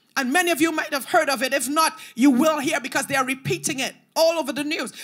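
The background is quiet as a woman talks. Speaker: preacher. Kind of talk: sermon. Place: church. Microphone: handheld.

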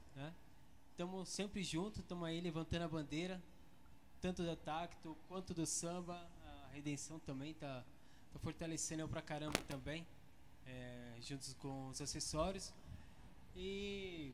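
Pausing long and often, a man speaks in a fairly high pitch with ordinary pitch variation over light background noise. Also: fairly slow pace. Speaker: percussionist; interview guest. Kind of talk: casual interview. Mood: relaxed, friendly chat. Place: studio. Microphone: handheld.

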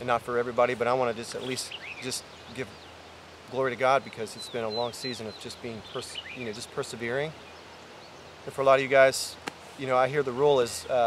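Speaking very fast in a monotone, flat delivery, a man sounds dry with no echo against noticeable background noise. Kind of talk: casual vlog chat. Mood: humble, reflective. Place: open country.

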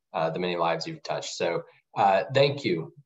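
Moderately paced, a man's ordinary speaking voice shows ordinary pitch variation. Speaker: nonprofit policy manager. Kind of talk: webinar presentation.

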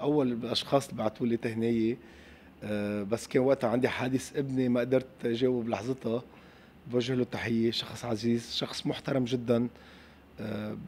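At a moderate pace, a man with a Lebanese accent speaks with medium pitch and fairly even intonation. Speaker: football club president. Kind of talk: interview.

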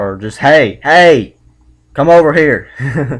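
A man with a Southern US accent, ordinary pitch variation, and a quiet background. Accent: Southern American. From South Carolina, USA. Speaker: vlogger doing accent test. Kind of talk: accent test word list and questions. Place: home room. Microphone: webcam.

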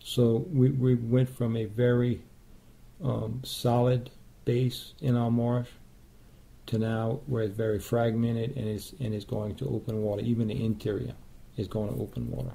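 A man's somewhat breathy voice has a dark, mellow tone and fairly even intonation. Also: moderate pace. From South Louisiana. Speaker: wildlife sanctuary caretaker. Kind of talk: interview answer.

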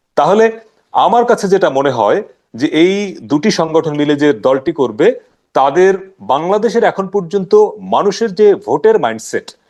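A high-pitched male voice with lively intonation. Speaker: journalist and writer. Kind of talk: political analysis discussion. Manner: candid, outspoken.

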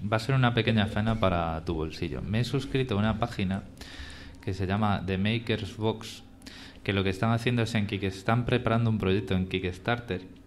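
Against light background noise, a man with a plain, everyday voice speaks at a fairly quick pace, his fairly low pitch showing ordinary variation. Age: 30s. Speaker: podcast host. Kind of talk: live podcast conversation. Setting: live event with audience. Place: hall.

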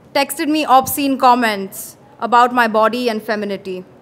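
A woman speaks in a high pitch with ordinary pitch variation. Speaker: spoken word poet. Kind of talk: spoken word poetry, a performed poem with a pointed, defiant, accusatory delivery. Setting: stage with audience at an open mic in a pub. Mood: earnest, defiant. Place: bar. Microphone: handheld.

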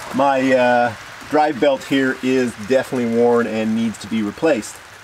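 A man talks with ordinary pitch variation while noticeable background noise can be heard. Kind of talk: tutorial. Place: open country.

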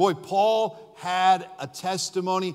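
In a quiet background, a man with an American accent speaks at a high pitch. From US. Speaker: pastor. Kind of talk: sermon. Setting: church. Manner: emphatic, repeating points for stress, preacher in full flow. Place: church.

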